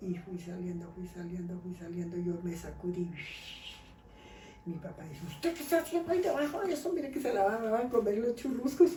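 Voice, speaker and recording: Amid noticeable background noise and audible room echo, a woman speaks at a fairly quick pace with lively intonation and big swings in loudness. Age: 70s. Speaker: grandmother telling life stories. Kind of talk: storytelling in casual interview.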